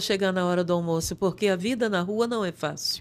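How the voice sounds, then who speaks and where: Talking at a fairly quick pace, a woman has an ordinary speaking voice with ordinary pitch variation, captured on a very clean recording with a silent background. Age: 60s. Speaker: pastor. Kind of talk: testimony.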